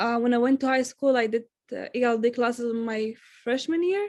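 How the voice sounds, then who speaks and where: A woman's high voice in an Arabic accent at a moderate pace. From Syria. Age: young, recent high school graduate. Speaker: student, refugee. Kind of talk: interview answers.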